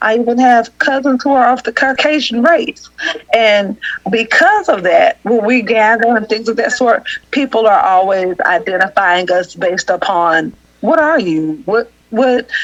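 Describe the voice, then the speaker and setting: Using lively intonation and a Southern US accent, a woman with a fairly high voice speaks at a moderate pace. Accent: Southern country dialect. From US South, Augusta, Georgia. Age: 30s. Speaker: housing assistance worker. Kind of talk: podcast interview.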